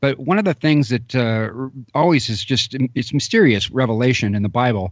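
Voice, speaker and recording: In a plain, everyday voice, a man of medium pitch talks at a fairly quick pace with ordinary pitch variation. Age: 40s. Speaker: radio host. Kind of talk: interview.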